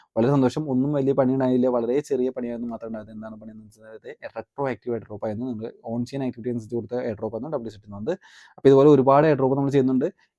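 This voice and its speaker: With a dark, mellow tone and medium pitch, a man speaks in fairly even intonation, his loudness swinging widely, the sound dry and close with no echo. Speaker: crypto tutorial youtuber. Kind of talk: tutorial.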